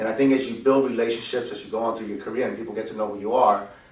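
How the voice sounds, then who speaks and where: A man's medium-pitched voice at a very fast pace, fairly even in intonation, with audible room echo and noticeable background noise. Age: 50s. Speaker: loan officer. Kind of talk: interview. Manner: halting.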